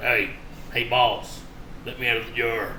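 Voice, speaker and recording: Over clear background noise, a man does a put-on character voice at a medium pitch and a moderate pace. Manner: pleading, cocky.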